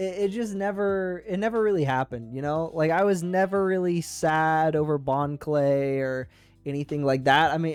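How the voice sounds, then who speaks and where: Over music in the background, a man talks at a moderate pace with a fairly high pitch and ordinary pitch variation. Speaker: YouTube reaction streamer. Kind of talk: casual live-stream commentary. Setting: live stream. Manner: halting, many false starts.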